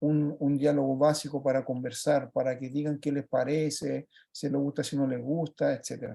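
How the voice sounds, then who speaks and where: With a Chilean accent, a man speaks in a monotone, flat intonation, his fairly high voice dark and mellow in tone. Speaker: project leader presenting a children's book. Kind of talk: virtual presentation talk. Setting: video call. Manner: fast; halting, many fillers.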